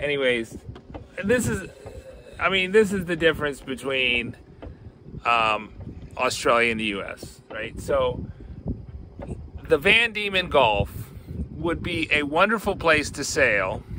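Pausing long and often, a man speaks at a fairly slow pace with very wide pitch swings, his dry, echo-free sound set against noticeable background noise. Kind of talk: casual vlog chat. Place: boat. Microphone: phone near.

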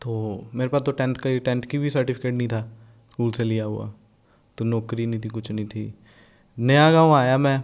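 Recorded very cleanly against a silent background, a man speaks at a moderate pace and medium pitch with fairly even intonation and long, frequent pauses. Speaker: rapper. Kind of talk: casual interview chat.

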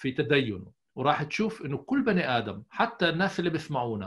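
Against a quiet background, a man with a fairly high, somewhat breathy voice speaks with very wide pitch swings. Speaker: psychologist; podcast guest. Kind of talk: interview. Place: office. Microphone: earbuds.

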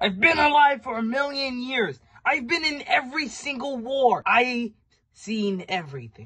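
Fairly slow and fairly bright in tone, a cartoonish character voice carries lively intonation.

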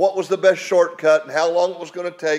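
A man speaks with an American accent. His pitch sits high. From West Virginia. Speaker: preacher. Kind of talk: sermon. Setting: home. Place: home room.

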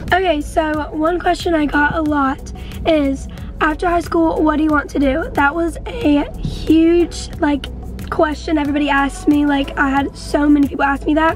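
Over clear background music, a woman speaks at a high pitch in a dry sound with no echo. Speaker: vlogger. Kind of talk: casual vlog chat. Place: car.

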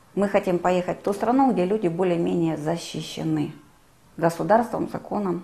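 A woman speaks at a fairly low pitch, noticeable background noise behind her. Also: ordinary pitch variation, moderate pace. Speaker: travel agency owner, war refugee. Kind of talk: testimony.

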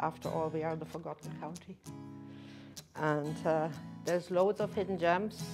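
Clear music plays behind a woman speaking with a German accent. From Germany. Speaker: tour guide. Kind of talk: interview answer. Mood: warm, friendly.

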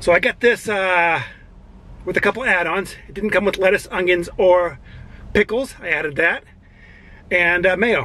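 With long, frequent pauses, a man uses a raised, projected voice with a bright, sharp tone, ordinary pitch variation and a moderate pace, the sound dry with no echo. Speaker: food reviewer. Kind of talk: casual vlog chat. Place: car. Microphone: lapel.

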